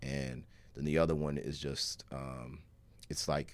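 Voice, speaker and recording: A man's very deep, low voice with vocal fry. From Alabama, Birmingham. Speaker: rapper. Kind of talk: casual chat. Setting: studio.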